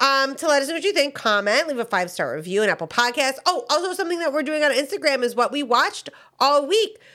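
In a raised, projected voice that is high, bright and sharp, a woman speaks at a very fast pace with very wide pitch swings, captured in a very clean recording with a silent background. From US South. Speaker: podcast co-host. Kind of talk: casual chat.

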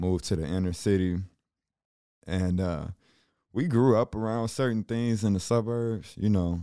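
Speaking at a moderate pace with long, frequent pauses, a man with an American accent uses a fairly low pitch and a dark, mellow tone. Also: ordinary pitch variation. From Chicago, later Sioux Falls. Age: 30s. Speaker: streetwear brand owner. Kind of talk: interview. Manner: animated.

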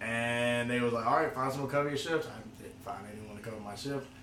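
A fairly quick man's voice at medium pitch, with audible room echo and noticeable background noise. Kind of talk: casual chat.

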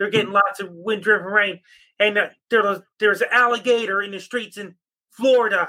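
A raised, projected voice with a bright, sharp tone moves at a fairly quick pace. The intonation stays monotone and flat, though the loudness swings widely. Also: man, high pitch for a man. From Cape Breton, Nova Scotia, Canada. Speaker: amateur weatherman. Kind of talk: weather report. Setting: video call.

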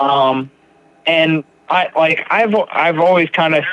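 Over noticeable background noise, a man with a fairly high voice speaks at a very slow pace with fairly even intonation. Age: 30s. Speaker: podcast host, person in recovery. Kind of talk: casual interview chat.

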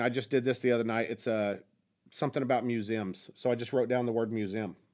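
An unremarkable speaking voice from a man, medium in pitch, with an American accent, at a fairly quick pace in a very clean recording with a silent background. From southern Oklahoma.

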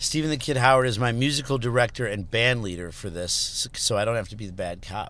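Ordinary pitch movement and a moderate pace from a man with an ordinary speaking voice and a medium pitch. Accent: American. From Chicago area, Illinois. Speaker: rock musician. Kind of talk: casual chat. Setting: in a car.

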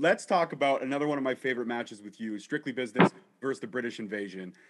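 A man with a medium pitch talks at a very fast pace with lively intonation and big swings in loudness. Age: 30s. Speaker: podcast host. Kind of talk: interview. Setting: studio. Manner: animated.

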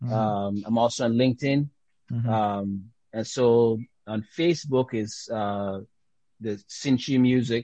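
A man with a Caribbean accent, a medium pitch, a dark, mellow tone, fairly even intonation and a fairly slow pace, in a dry, close sound with no echo. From Dominica and US Virgin Islands. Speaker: jazz trombonist and teacher. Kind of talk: interview. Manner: halting, many fillers.

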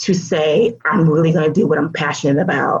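A somewhat breathy speaker with an American accent and ordinary pitch variation. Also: woman. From US South (Alabama, Georgia). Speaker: education consultant. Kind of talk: interview.

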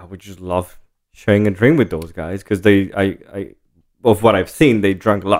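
A man with a Spanish accent and fairly low pitch, ordinary pitch variation and big swings in loudness, on a very clean recording with a silent background. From Jalisco, Mexico. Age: 30s. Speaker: tequila brand co-founder. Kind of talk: casual interview. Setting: in person.

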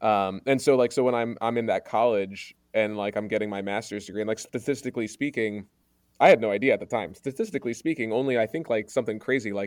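In a very clean recording with a silent background, a man of medium pitch talks at a fairly quick pace with ordinary pitch variation. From Maryland, US. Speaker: school principal. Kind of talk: interview. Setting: home recording under a duvet. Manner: halting, many fillers and restarts. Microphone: good sound.

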